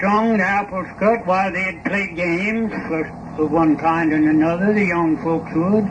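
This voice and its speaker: Over noticeable background noise, a man speaks fairly slowly in a high voice with fairly even intonation. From East Tennessee mountains. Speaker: farmer and coffin maker. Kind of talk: interview answer.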